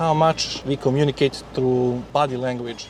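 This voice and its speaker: With noticeable background noise behind him, a man keeps his intonation fairly even. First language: Serbian/Croatian. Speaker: YouTuber. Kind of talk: vlog. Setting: in a car. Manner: halting.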